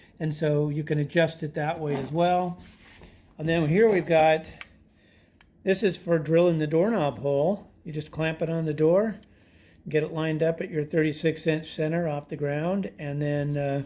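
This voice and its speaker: A man speaks in a normal speaking voice at a moderate pace. His intonation stays fairly even. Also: fairly high pitch for a man. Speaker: DIY home renovation YouTuber. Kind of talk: tutorial. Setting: outdoors by a creek.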